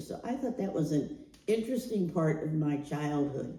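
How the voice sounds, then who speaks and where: In a room with audible echo, a woman with a very deep, low pitch talks fairly slowly with lively intonation. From US Midwest, Canton, Ohio. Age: 80s+. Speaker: storyteller sharing life story. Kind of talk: oral history testimony.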